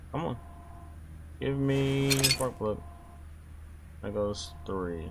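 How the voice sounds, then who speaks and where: A man talks at a very slow pace, his pitch swinging very widely. The recording carries audible room echo and noticeable background noise. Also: medium pitch for a man. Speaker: gaming youtuber. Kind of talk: gameplay commentary.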